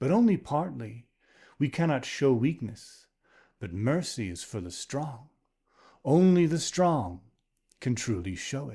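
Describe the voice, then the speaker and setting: A man uses a put-on character voice at a medium pitch. He talks at a fairly slow pace with long, frequent pauses. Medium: read story. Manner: proud, decisive.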